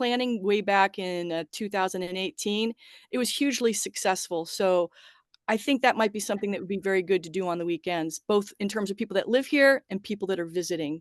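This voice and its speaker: In a normal speaking voice, a woman talks at a fairly quick pace with ordinary pitch variation, her sound dry and close with no echo against a quiet background. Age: 60s. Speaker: social media contractor. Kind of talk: public meeting presentation.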